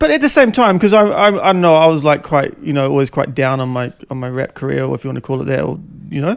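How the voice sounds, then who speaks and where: A man speaks with a New Zealand accent. He talks very fast. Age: 40s. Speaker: podcast host and former rapper. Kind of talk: casual chat. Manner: halting.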